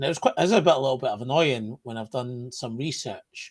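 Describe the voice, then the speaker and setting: Lively intonation marks this man's medium-pitched, somewhat breathy voice. He talks at a fairly quick pace. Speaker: adoptee sharing his story. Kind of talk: interview, personal story. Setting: podcast recording. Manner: halting, many restarts.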